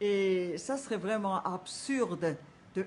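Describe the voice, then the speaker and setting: This woman's voice sits at a medium pitch. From Switzerland, canton of Bern. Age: 70s. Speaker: collector of voodoo objects. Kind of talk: documentary interview answer.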